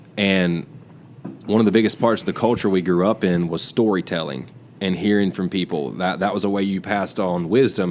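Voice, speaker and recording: A man speaks fairly quickly with a Southern US accent. His pitch is very deep and low, and his intonation fairly even. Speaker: podcast co-host. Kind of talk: casual chat.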